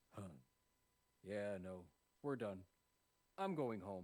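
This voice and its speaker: A man speaks in a put-on character voice. It is fairly low in pitch and fairly slow. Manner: sighing, tired, resigned.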